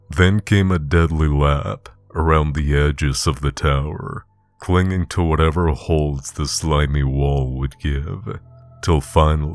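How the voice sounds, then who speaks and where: Over music in the background, a man with a very deep, low voice speaks very slowly with fairly even intonation. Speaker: audiobook narrator. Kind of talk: horror story narration.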